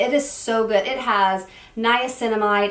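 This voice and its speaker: A woman speaks at a fairly high pitch with ordinary pitch variation. There is noticeable background noise. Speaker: beauty youtuber. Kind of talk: product review. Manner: fast; casual, chatty.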